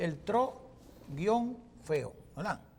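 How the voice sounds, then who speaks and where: The man's speech has lively intonation. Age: 60s. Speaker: political commentator. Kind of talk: TV panel discussion. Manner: halting.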